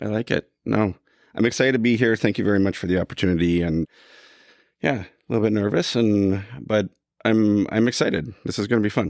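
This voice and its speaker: With a Canadian accent, a man speaks in a fairly low pitch with ordinary pitch variation on a very clean recording with a silent background. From Canada. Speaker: equipment company executive. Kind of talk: interview. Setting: room with recording equipment.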